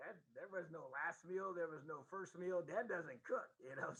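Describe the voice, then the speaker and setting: At a moderate pace, a man speaks with a Midwestern US accent, a high pitch, and lively intonation. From Indiana. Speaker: football coach. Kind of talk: casual chat.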